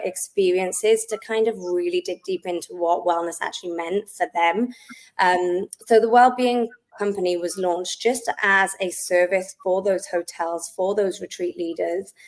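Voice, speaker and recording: At a moderate pace, a woman with a Welsh accent keeps her intonation fairly even. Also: medium pitch for a woman. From Wales, South Wales. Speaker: wellness company founder, Pilates instructor. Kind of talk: podcast interview.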